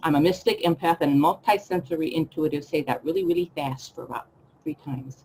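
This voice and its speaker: At a fairly quick pace, a woman in a normal speaking voice talks at a fairly low pitch with lively intonation. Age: 60s. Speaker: life coach. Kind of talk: webinar presentation. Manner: casual.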